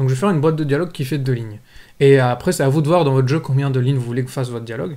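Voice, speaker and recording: A man speaks with a dark, mellow tone. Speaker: programming tutor. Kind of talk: tutorial.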